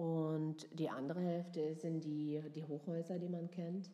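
A woman speaks in a very deep, low voice. Her delivery is monotone and flat, at a very slow pace. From southwest Germany, near Freiburg. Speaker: actress and cabaret performer. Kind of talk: casual chat. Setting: make-up styling session.

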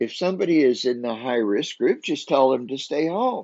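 With a medium pitch, a man speaks with very wide pitch swings. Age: 70s. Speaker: pastor. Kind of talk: devotional sermon podcast. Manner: warm conversational.

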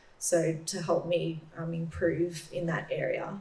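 A woman with an Australian accent speaks very slowly at a fairly low pitch over noticeable background noise. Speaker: middle-distance runner. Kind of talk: panel Q&A. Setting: stage with audience.

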